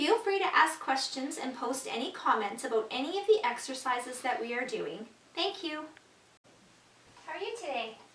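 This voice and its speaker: A soft-spoken woman at a high pitch, moderate pace and very wide pitch swings, with audible room echo. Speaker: stretching class instructor. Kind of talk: exercise tutorial.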